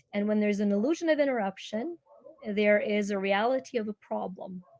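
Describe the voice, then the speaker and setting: A woman's fairly high, dark, mellow voice with a Ukrainian accent, ordinary pitch variation and a moderate pace. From Ukraine. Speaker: energy healer and speaker. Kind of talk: interview.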